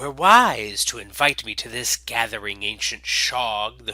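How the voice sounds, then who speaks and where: A man uses a put-on character voice with hissing, at medium pitch. He talks at a fairly slow pace with big swings in loudness. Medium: read story. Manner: menacing, condescending.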